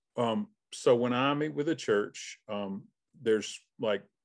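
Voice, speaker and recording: A man speaks very slowly with a Southern US accent, his pitch medium and its variation ordinary. The background is quiet. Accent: Southern US (Georgia). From South Georgia, US (Albany). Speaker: missions consultant, former pastor. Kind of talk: interview.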